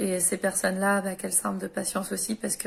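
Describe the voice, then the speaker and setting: A somewhat breathy woman's voice at medium pitch. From France. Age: 30s. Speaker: widow and former caregiver. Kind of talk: personal advice talk to camera. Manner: hesitant, many filler sounds.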